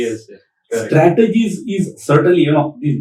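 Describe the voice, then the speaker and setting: With a dark, mellow tone, a man talks at a moderate pace with lively intonation. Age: 60s. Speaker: PMP trainer, retired tech director. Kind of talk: podcast interview answer.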